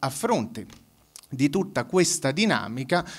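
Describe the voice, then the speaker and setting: Very wide swings in pitch run through the speech of this man. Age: 30s. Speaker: public debate speaker. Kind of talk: public debate talk.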